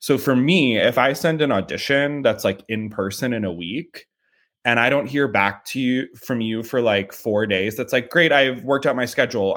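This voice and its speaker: On a very clean recording with a silent background, an ordinary speaking voice keeps a moderate pace and ordinary pitch variation. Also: man. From US Midwest, St. Louis, Missouri. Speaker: talent agent. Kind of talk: interview.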